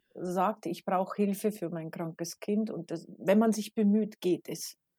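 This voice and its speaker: Recorded very cleanly with a silent background, a woman with a normal speaking voice talks at a moderate pace and medium pitch, her intonation fairly even. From Bavaria, Regensburg. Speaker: teacher and mother. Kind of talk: casual interview.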